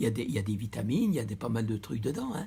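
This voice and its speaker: A man talks at a very fast pace with a medium pitch and lively intonation. His tone is dark and mellow, and somewhat breathy. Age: 80s+. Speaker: retired butcher. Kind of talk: interview.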